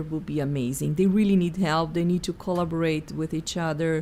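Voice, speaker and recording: A woman with a Portuguese accent speaks at fairly low pitch in a dark, mellow tone. Her intonation stays fairly even. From Brazil, Sao Paulo. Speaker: executive coach. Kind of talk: interview.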